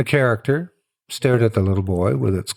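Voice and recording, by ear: The text is read out in a natural voice, with little sound in the background.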